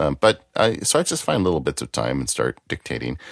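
In an American accent, a man speaks at a moderate pace with vocal fry, his sound dry and close with no echo, recorded very cleanly against a silent background. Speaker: lawyer and author. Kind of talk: casual chat.

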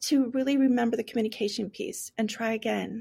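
The woman's voice has a dark, mellow tone. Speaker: teacher of deaf and hard of hearing students. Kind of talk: casual interview chat. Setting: video call.

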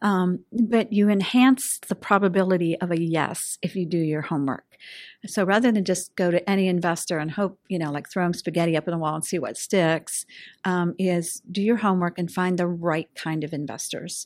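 A woman with an American accent and an ordinary speaking voice, fairly low in pitch with ordinary pitch variation, at a moderate pace in a very clean recording with a silent background. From Western Pennsylvania. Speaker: venture capitalist. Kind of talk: interview.

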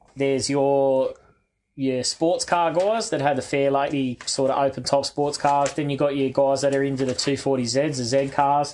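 A man with an Australian accent talks at a fairly high pitch. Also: fairly even intonation, moderate pace. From Western Sydney, Australia. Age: 40s. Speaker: car enthusiast. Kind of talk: casual chat.

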